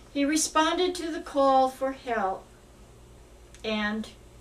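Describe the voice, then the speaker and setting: At a very slow pace, a woman speaks with lively intonation over noticeable background noise. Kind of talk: religious book reading.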